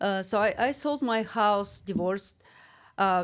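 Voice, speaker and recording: A woman with a Russian accent speaks at a fairly slow pace, with a medium pitch and ordinary pitch variation. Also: very clean recording, silent background. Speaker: realtor and investor. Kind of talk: podcast interview. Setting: studio. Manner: halting.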